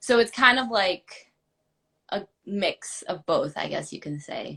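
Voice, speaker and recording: A woman with an American accent speaks at a very slow pace, her loudness swinging widely. The sound is dry and close, with no echo. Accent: Texas drawl, slight, comes out sometimes. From Texas, Houston. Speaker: actor. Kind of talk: casual chat.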